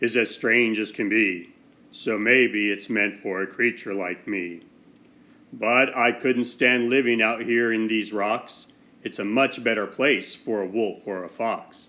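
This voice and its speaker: This put-on character voice is growling. It moves at a fairly slow pace. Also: man, medium pitch for a man. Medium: read story.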